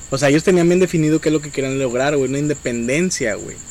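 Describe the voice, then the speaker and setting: A man talks very fast in a fairly high pitch with ordinary pitch variation while noticeable background noise carries on. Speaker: podcast host. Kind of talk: casual chat.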